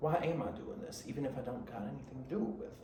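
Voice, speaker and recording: A man with an American accent and medium pitch speaks in an animated tone. Audible room echo and noticeable background noise surround his voice. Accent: country twang, comes and goes. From Michigan, south of Detroit. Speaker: podcast host. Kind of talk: casual chat. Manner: rambling, animated.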